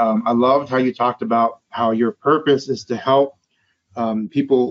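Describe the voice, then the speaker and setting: This man has a plain, everyday voice at a medium pitch. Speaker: podcast host and career coach. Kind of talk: interview.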